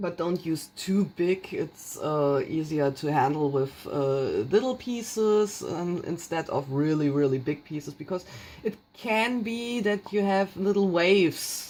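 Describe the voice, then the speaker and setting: With a German accent, a woman speaks at a fairly slow pace, her fairly low voice carrying lively intonation. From Germany. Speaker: craft tutorial maker. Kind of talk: tutorial. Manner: halting, many fillers.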